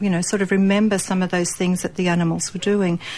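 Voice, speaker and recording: A woman at medium pitch speaks in an Australian accent. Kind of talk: casual chat.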